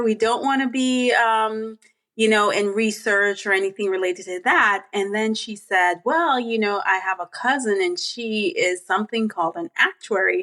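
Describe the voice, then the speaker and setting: A woman's fairly high, bright, sharp voice with lively intonation in a very clean recording with a silent background. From Jamaica. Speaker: actuary, association board member. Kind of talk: podcast interview.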